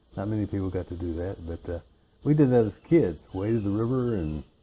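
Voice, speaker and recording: A man speaks with a very deep, low pitch and a dark, mellow tone. He is somewhat breathy, with ordinary pitch variation at a moderate pace. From US, western Virginia (Alleghany County). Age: 70s. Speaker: interview guest. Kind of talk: casual interview. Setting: porch.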